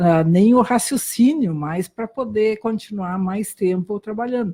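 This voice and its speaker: A woman's medium-pitched voice with a German accent, dark and mellow, somewhat breathy, with ordinary pitch variation. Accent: German-accented Brazilian Portuguese. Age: 60s. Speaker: doctor. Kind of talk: interview testimony. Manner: halting.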